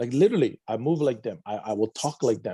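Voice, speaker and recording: Dark and mellow in tone, a man speaks with a Hawaiian accent at a fairly quick pace. The sound is dry and close, with no echo. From Hawaii, Big Island (Waimea). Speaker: addiction recovery counselor. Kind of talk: interview testimony.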